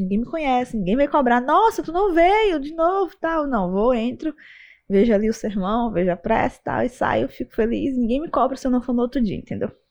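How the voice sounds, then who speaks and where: A woman's voice shows very wide pitch swings against a quiet background. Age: 20s. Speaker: MMA and Chinese boxing fighter. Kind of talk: casual interview chat.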